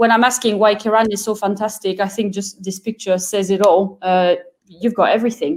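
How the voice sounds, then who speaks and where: Someone with a French accent speaks at a moderate pace with fairly even intonation. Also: woman. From France. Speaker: wine product manager. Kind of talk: webinar interview.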